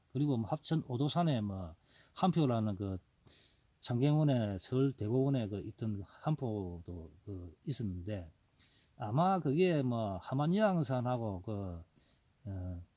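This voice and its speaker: A man's dark, mellow, medium-pitched voice at a very slow pace with very wide pitch swings, recorded very cleanly against a silent background. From Gyeongsang province, South Korea. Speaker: wild ginseng forager and YouTuber. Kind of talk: casual informational talk. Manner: rambling, hesitant with fillers.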